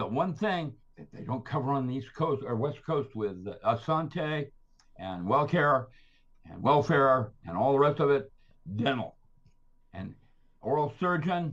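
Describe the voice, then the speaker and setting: A man speaks at a fairly high pitch with vocal fry and lively intonation. His pace is fairly slow, broken by long, frequent pauses. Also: big swings in loudness. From Philippines. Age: 80s+. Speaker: scientist and author. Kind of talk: casual interview. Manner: rambling, animated.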